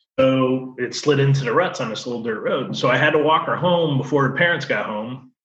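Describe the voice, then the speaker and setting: This man has a medium pitch and a bright, sharp tone. He speaks with an American accent. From Connecticut (rural, Colchester). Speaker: off-road competitor. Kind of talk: casual interview chat.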